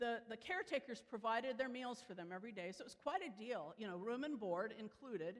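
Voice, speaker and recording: Speaking at a very fast pace in an American accent, a woman uses a fairly high pitch with big swings in loudness. The background is quiet. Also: lively intonation. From Chicago area, US Midwest; Illinois. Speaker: preacher. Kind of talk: sermon. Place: church.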